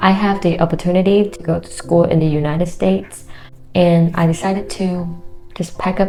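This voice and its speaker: A woman talks at a fairly quick pace with a fairly low pitch and a non-native accent. Audible room echo is present. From Vietnam. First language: Vietnamese. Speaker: engineer and YouTuber. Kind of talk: casual vlog talk to camera.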